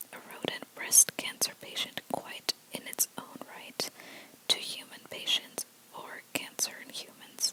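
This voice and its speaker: Someone whispers. Background noise is noticeable throughout. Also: fairly slow pace. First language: not English. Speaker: ASMR creator. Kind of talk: reading aloud. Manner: soft-spoken; halting.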